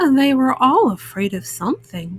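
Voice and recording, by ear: A woman's put-on character voice, high-pitched with big pitch swings, a slightly husky edge and a fairly slow pace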